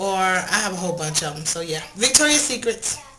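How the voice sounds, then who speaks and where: Over noticeable background noise and audible room echo, a woman talks fairly quickly at a medium pitch. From Texas, Fort Worth. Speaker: makeup vlogger. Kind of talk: casual Q&A vlog. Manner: fast.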